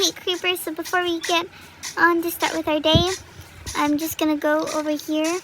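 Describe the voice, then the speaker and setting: A woman uses a raised, projected voice at an extremely high pitch, flat and monotone. She keeps a moderate pace over noticeable background noise. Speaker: gaming youtuber. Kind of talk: gameplay commentary. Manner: casual, hesitant with many fillers.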